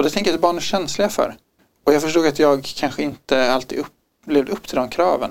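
At a fairly quick pace, a man speaks in an unremarkable speaking voice with a fairly high pitch. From Stockholm, Sweden. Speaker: podcast guest. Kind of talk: personal testimony.

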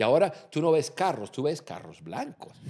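Very clean recording of a man's voice, the background silent. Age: 50s. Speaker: podcast host, leadership coach. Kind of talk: casual chat. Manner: halting.

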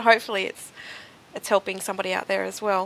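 A bright, sharp tone, a very fast pace and flat, monotone intonation. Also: woman. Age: 30s. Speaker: podcast host. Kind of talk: interview.

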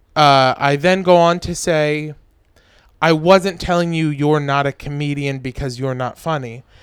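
A man's fairly high voice, fairly even in intonation, at a fairly slow pace. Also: long, frequent pauses. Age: 20s. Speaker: stand-up comedian. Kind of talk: casual chat.

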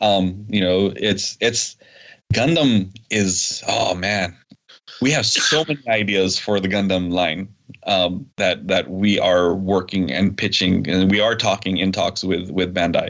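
In a normal speaking voice, a man with a fairly low pitch talks at a fairly slow pace, with very even loudness and ordinary pitch variation. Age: 40s. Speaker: toy company representative. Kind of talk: casual interview.

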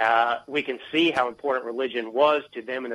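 A man speaks at a moderate pace with a medium pitch and fairly even intonation. It is an unremarkable speaking voice. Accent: American. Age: 30s. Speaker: author. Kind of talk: interview.

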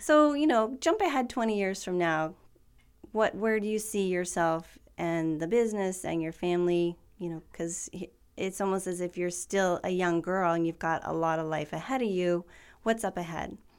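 Over a very clean recording with a silent background, a woman speaks at a moderate pace in an ordinary speaking voice, medium in pitch with ordinary pitch variation. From Tri-Cities, Washington. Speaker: podcast host, financial planner. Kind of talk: interview.

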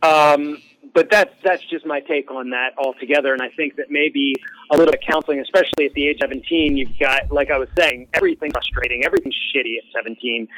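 In a dry, close sound with no echo, a man with a fairly high pitch and ordinary pitch variation talks at a very fast pace over noticeable background noise. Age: 40s. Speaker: musician. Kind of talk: casual chat.

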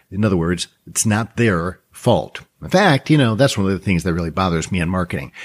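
An unremarkable speaking voice from a man, with lively intonation. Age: 50s. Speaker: trading educator and podcast host. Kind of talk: solo podcast monologue. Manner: conversational with frequent fillers.

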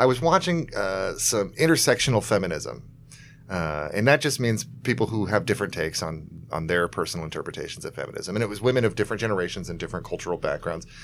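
With music in the background, a man with an American accent talks at a very fast pace in a fairly low pitch, making very wide pitch swings. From US South. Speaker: comedian and podcast co-host. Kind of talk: casual chat.

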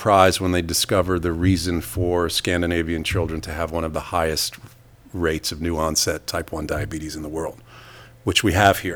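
A man with a New York accent at a moderate pace, with big swings in loudness. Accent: New York American. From New York City. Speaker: emergency physician. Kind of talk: interview.

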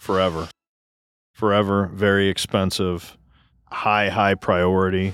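With a very deep, low pitch and monotone, flat intonation, a man speaks at a fairly slow pace with long, frequent pauses on a very clean recording with a silent background. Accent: American. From US Midwest. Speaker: podcast co-host. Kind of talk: casual chat.

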